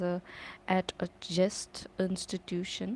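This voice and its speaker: With a dark, mellow tone, a woman talks at a medium pitch. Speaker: language learner practicing speaking. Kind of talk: reading aloud with commentary. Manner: halting, stuttering.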